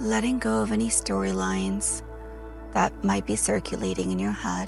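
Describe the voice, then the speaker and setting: A woman's calm, gentle tone at a moderate pace, with music in the background. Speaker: meditation guide. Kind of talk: guided meditation.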